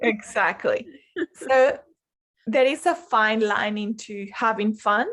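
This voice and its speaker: A woman with a non-native accent speaks at a very slow pace in a fairly high pitch, with long, frequent pauses. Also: ordinary pitch variation. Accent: foreign. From Colombia. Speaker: life coach. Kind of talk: interview.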